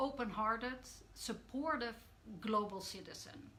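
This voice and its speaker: In a Dutch accent, a woman speaks at a fairly high pitch with ordinary pitch variation. Her tone is bright and sharp, and there is audible room echo. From Netherlands. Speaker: coach. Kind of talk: live stream talk. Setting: live video stream. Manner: hesitant, many fillers.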